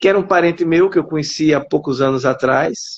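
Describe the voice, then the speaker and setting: Fairly high male speech with ordinary pitch variation. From Alagoas, Brazil. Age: 60s. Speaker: writer and psychologist. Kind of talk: interview. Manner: halting.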